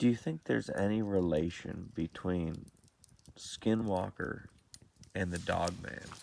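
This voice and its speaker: Soft-spoken, a man with a very deep, low pitch talks at a fairly slow pace with long, frequent pauses. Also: ordinary pitch variation. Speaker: paranormal podcast host. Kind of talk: casual chat. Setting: outdoors.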